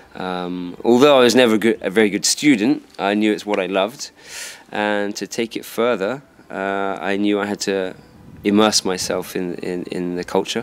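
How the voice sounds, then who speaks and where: At a moderate pace, a man with a southern English accent speaks at a fairly low pitch with fairly even intonation. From southern England, Dorset; southern England. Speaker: karate instructor. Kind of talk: interview. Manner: hesitant, many fillers.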